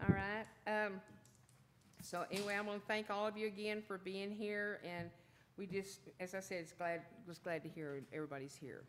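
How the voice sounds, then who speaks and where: This woman has a Texan accent and a medium pitch with ordinary pitch variation. She keeps a moderate pace broken by long, frequent pauses. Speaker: mayor chairing city council meeting. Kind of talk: public meeting chairing. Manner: loud. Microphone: keeps mic away, may sound quiet.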